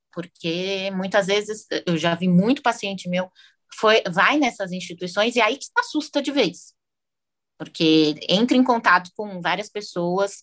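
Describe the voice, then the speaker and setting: A woman with an unremarkable speaking voice talks fairly slowly at a medium pitch, with ordinary pitch variation. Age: 20s. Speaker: psychologist. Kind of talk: interview.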